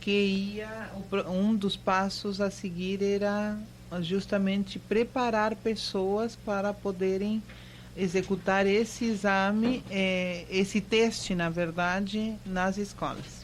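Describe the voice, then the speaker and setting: Speaking at a very slow pace, a woman with a Spanish accent uses a medium pitch and monotone, flat intonation. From Argentina (Mendoza). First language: Spanish (speaking Portuguese). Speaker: university professor. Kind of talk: radio interview. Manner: halting, many fillers.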